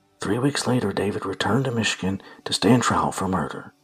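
A man's fairly low voice over background music. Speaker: true crime podcaster. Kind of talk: true-crime narration retelling a case, with sarcastic asides. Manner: animated, sarcastic, and irreverent, swearing in asides; dramatic, storyteller pacing.

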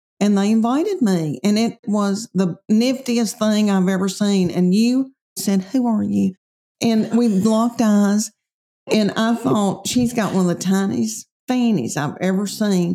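A woman speaks in a Tennessee accent with a dark, mellow tone. Her loudness stays very even at a fairly slow pace. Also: medium pitch for a woman, ordinary pitch variation. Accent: Southern US, Tennessee. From Middle Tennessee. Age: 50s. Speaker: comedian. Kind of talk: casual interview chat.

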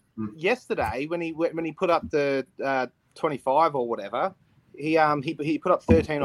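Recorded with a dry, close sound and no echo, a man with an Australian accent talks at a moderate pace. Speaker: sports podcaster. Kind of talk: casual chat. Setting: video call. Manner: animated.

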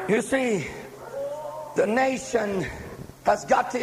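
Through noticeable background noise, a man speaks very slowly with lively intonation. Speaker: preacher. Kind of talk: sermon. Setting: church with live congregation. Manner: fervent, call-and-response preaching that urges the congregation to say amen; solemn and urgent, with pleading altar-call tone.

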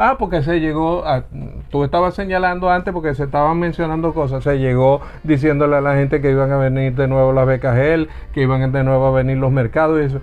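Noticeable background noise sits under a man talking at a fairly quick pace, his pitch fairly high, his intonation fairly even and his loudness very even. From Venezuela, Zulia (Lagunillas). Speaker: politician. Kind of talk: heated debate.

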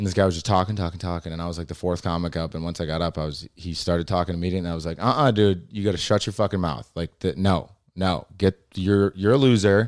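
At a very fast pace with hardly any pauses, a man speaks at a very deep, low pitch with ordinary pitch variation in a very clean recording with a silent background. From Illinois. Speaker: stand-up comedian. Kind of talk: casual chat. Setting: studio.

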